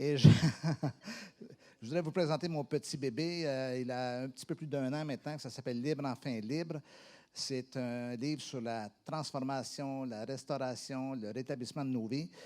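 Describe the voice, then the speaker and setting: With a Quebec accent, the voice has a dark, mellow tone and fairly even intonation, moving at a fairly slow pace in a very clean recording with a silent background. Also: man, medium pitch for a man. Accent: Québécois French. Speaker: pastor. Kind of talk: sermon. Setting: church.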